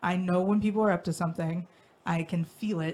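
A somewhat breathy voice with an American accent speaks at a moderate pace in a flat, monotone intonation. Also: woman. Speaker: podcast host. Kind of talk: casual chat. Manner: halting.

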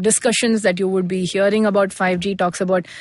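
With an Indian accent, a woman speaks at a medium pitch in a monotone, flat intonation. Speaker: managing director, tech consultancy. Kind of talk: interview.

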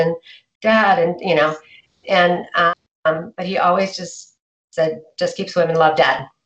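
Here is a woman with an American accent. Her pitch varies in an ordinary way. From US, Idaho (McCall). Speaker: financial planner. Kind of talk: interview. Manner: hesitant, many fillers.

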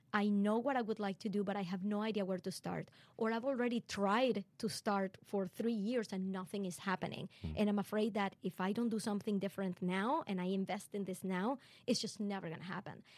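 Speaking at a fairly quick pace, a woman with a Venezuelan accent talks at a medium pitch with fairly even intonation, and the sound is dry and close with no echo. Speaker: podcaster and entrepreneur coach. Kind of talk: casual interview chat. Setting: studio.

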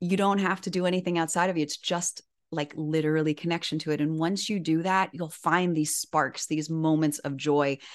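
With an American accent, a woman speaks at a fairly low pitch in a monotone, flat intonation. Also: moderate pace, quiet background. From Miami, Florida. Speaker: author and inspirational speaker. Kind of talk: interview.

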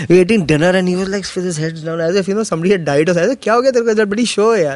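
A high-pitched man at a very fast pace, with ordinary pitch variation and noticeable background noise. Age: 40s. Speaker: comedian. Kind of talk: casual chat.

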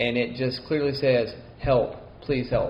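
A man with a Southern US accent, medium pitch, fairly even intonation and a moderate pace. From Mississippi. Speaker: co-host. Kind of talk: casual chat.

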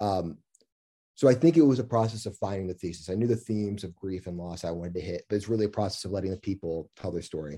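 Speaking at a very fast pace with an American accent, a man has a fairly low pitch, a dark, mellow tone and ordinary pitch variation, on a very clean recording with a silent background. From US Midwest, Kansas City area (Lee's Summit, Blue Springs). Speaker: film director. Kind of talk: interview.

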